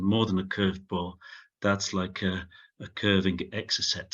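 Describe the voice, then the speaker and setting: Here a man speaks with a Sheffield accent at a fairly low pitch. His pace is moderate and his intonation monotone and flat. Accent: similar to a Sheffield. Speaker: professor. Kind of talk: Q&A after lecture. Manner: halting with many fillers.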